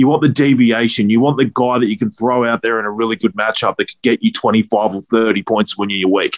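This man talks with an Australian accent. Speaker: fantasy football co-host.

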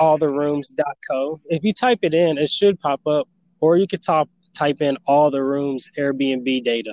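A man speaks at a fairly slow pace in a plain, everyday voice, pitched fairly high. His pitch varies an ordinary amount, and the sound is dry and close with no echo. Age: 20s. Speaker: aspiring entrepreneur and YouTuber. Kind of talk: interview.

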